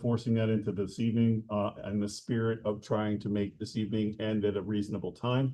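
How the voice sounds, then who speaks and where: A man talks at a fairly quick pace. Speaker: town board chair. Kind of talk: public meeting. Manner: hesitant, many fillers.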